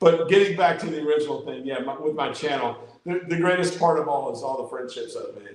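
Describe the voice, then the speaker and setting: A man with an American accent talks very fast in a high pitch, with ordinary pitch variation. Audible room echo can be heard. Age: 60s. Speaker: amateur radio YouTuber. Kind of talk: casual chat. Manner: halting, many repeated words.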